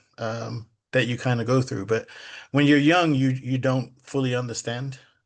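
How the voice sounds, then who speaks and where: A man with an American accent at a moderate pace and medium pitch, his intonation fairly even. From England, London, then US from age ten. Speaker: poet. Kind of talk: interview. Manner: halting, many fillers and repeats.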